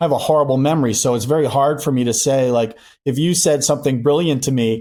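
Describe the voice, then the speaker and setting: A man's fairly high-pitched voice with a dark, mellow tone, very fast with fairly even intonation and very even loudness, on a very clean recording with a silent background. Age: 60s. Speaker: company CEO. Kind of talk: podcast interview. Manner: reflective, conversational.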